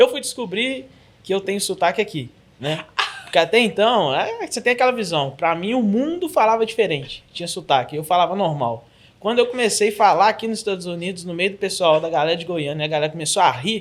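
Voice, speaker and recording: A man with a Belo Horizonte accent speaks at a fairly quick pace in a high voice with lively intonation. Noticeable background noise can be heard. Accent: noticeable mineiro (Belo Horizonte). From Brazil, Belo Horizonte (Minas Gerais). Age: 30s. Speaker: church ministry coordinator, preacher. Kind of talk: podcast interview.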